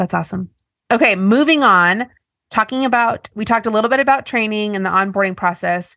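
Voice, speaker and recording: A woman with a plain, everyday voice, fairly high pitch, ordinary pitch variation and a fairly quick pace, over a quiet background. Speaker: podcast host. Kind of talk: casual interview conversation.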